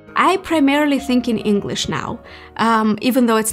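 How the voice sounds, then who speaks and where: A woman speaks with music in the background. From Moldova. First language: Romanian. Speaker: YouTuber. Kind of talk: casual Q&A monologue.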